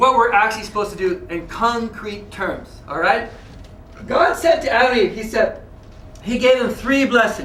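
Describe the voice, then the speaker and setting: Loud and animated, a man speaks at an extremely high pitch and a moderate pace with ordinary pitch variation, over noticeable background noise and audible room echo. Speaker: religious lecturer. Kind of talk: lecture.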